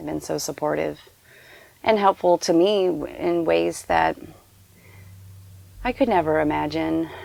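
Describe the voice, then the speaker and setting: A woman speaks at a fairly slow pace. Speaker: caretaker and freelance illustrator. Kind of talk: interview. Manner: halting, many fillers.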